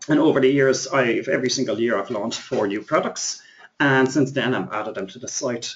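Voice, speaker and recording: At a fairly quick pace, a man talks in a medium pitch with ordinary pitch variation. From Ireland. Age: 30s. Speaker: internet marketing trainer. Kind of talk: webinar presentation. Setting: live webinar. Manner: fast.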